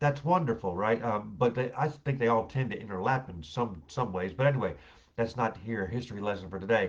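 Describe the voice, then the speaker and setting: A somewhat breathy male voice at medium pitch, with lively intonation and a fairly quick pace. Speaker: former pastor, online show co-host. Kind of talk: casual chat. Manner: fast; animated.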